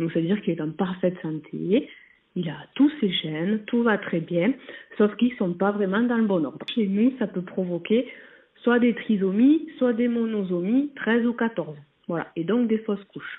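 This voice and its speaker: A woman has an ordinary speaking voice at a medium pitch. She speaks fairly slowly, with lively intonation. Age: 20s. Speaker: nurse. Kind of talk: testimony.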